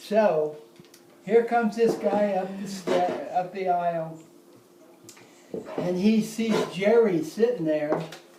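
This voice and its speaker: Speaking at a high pitch, a man goes at a very slow pace with long, frequent pauses. Noticeable background noise can be heard. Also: ordinary pitch variation. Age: 80s+. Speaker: retired basketball coach and academic. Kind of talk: storytelling to family.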